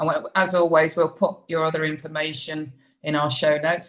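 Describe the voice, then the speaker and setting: A woman speaks with a British accent. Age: 60s. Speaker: podcast host. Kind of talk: interview.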